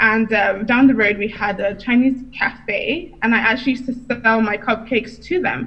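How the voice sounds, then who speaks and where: A woman with a British accent speaks at a moderate pace, her pitch fairly high and her pitch variation ordinary. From UK, Nigerian heritage. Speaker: entrepreneur and business coach. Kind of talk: interview.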